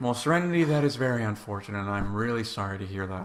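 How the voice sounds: Through noticeable background noise, a man with a fairly low voice speaks with lively intonation.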